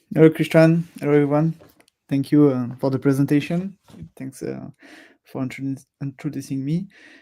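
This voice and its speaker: A man with a fairly high voice and a dark, mellow tone speaks at a moderate pace with fairly even intonation, long frequent pauses and big swings in loudness. The recording is very clean, with a silent background. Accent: French. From France. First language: French. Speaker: software product manager. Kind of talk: live stream presentation. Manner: hesitant, many fillers.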